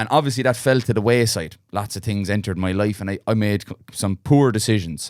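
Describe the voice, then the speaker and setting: A man with a Munster accent talks at a fairly quick pace. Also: very clean recording, silent background. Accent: Irish, Munster. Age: 30s. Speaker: podcast host. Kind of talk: casual interview. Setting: studio.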